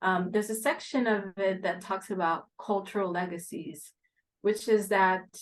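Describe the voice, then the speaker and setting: This woman has an ordinary speaking voice at medium pitch, moving at a moderate pace with ordinary pitch variation. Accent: American. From Haiti and US. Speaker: real estate investment executive. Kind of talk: podcast interview.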